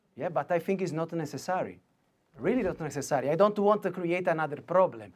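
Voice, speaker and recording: A man's high-pitched voice with an Italian accent, at a very fast pace with ordinary pitch variation, on a very clean recording with a silent background. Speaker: litigant on court show. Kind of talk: courtroom argument. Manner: halting broken English; insistent, talks over others.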